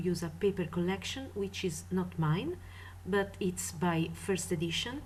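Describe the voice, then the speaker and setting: With audible room echo around her, a woman speaks at a fairly slow pace. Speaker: craft tutorial maker. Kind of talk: tutorial.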